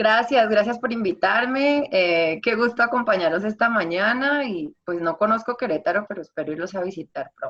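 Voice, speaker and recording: A woman with a fairly high pitch, at a moderate pace, with hardly any pauses. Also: lively intonation. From Colombia. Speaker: singer-songwriter and artist. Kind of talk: interview. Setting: video call.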